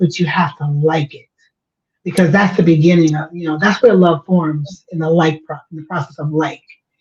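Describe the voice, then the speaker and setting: A woman talks at a moderate pace. Her voice is somewhat breathy, with a dark, mellow tone. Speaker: organizational change agent and writer. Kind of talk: casual chat.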